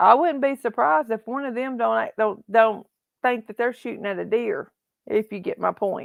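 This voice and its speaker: Over a quiet background, in a dry, close sound with no echo, a woman with a Southern US accent speaks with a fairly high pitch, ordinary pitch variation and big swings in loudness. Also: moderate pace. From Tennessee. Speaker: livestream host. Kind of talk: casual live chat. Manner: halting, repetitive.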